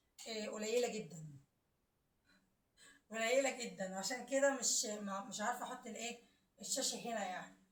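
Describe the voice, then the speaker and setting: Delivered at a moderate pace, the speech has audible room echo. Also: woman. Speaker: home vlogger. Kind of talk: home tour vlog. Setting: at home. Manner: halting, many fillers.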